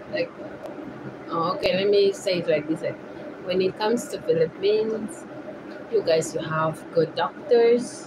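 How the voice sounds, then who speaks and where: Over noticeable background noise, a woman speaks with very wide pitch swings. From Uganda. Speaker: vlogger. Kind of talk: casual chat. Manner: halting.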